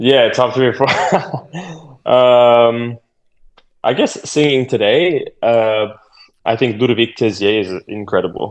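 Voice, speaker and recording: A man with an American accent speaks at a fairly slow pace, leaving long, frequent pauses. His pitch is medium, with ordinary pitch variation. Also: very even loudness. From US, Boston. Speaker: opera singer. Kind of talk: casual interview.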